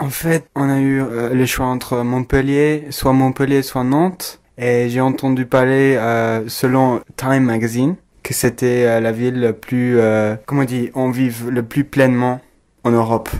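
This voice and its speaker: Monotone, flat intonation at a fairly slow pace. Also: man, medium pitch for a man. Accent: English. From England. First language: English (speaking French). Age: 20s. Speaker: exchange student. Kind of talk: interview. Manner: halting.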